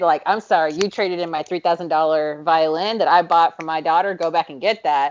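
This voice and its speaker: A woman with a normal speaking voice talks at a moderate pace, her fairly low pitch held in a fairly even intonation. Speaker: podcast co-host. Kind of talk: casual chat.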